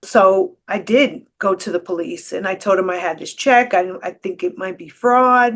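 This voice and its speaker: This woman has an ordinary speaking voice, medium in pitch, with fairly even intonation. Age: 60s. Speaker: scam victim and advocate. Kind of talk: testimony.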